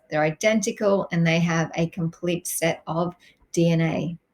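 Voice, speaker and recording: A woman with an Australian accent talks at a moderate pace in a fairly low pitch with fairly even intonation. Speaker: science teacher. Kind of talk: recorded lesson. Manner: hesitant, many fillers.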